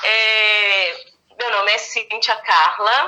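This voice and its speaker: A woman speaks in a fairly high voice. Her tone is bright and sharp. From Brazil, Minas Gerais interior. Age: 40s. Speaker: speech therapist. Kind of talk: podcast interview.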